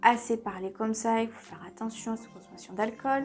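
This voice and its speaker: Over music in the background, a woman talks at a moderate pace in a fairly high pitch. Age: 30s. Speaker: beauty and lifestyle vlogger. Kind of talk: casual tutorial vlog. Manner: chatty, conversational.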